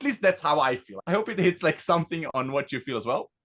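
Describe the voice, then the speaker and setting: Against a quiet background, a man with an Israeli accent speaks with lively intonation in a bright, sharp tone, the sound dry and close with no echo. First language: Hebrew. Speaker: tech company founder. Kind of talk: product demo presentation.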